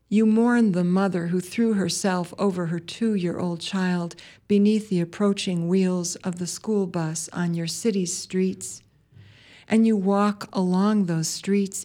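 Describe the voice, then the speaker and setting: A woman with an American accent speaks very slowly at a medium pitch, her tone dark and mellow with fairly even intonation. The recording is very clean, with a silent background. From US Midwest, Wisconsin. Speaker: poet and farmer, radio host. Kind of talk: poetry reading, spoken word; reading aloud, scripted intro and outro.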